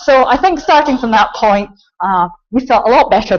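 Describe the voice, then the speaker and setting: A woman with a Scottish accent talks at a fairly quick pace, her intonation lively. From Scotland. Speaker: computing centre director. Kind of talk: conference talk. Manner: frequent filler ums.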